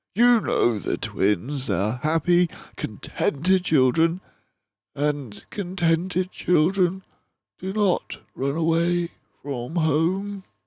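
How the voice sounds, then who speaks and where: A man's high-pitched put-on character voice at a very slow pace. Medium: read story. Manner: hesitant, halting.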